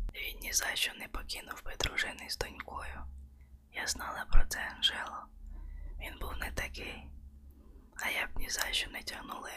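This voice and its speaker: Whispered speech, broken by long, frequent pauses, comes through noticeable background noise. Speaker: audiobook narrator. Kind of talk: ASMR audiobook reading, bedtime-story style. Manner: soft, slow, intimate, hushed narration.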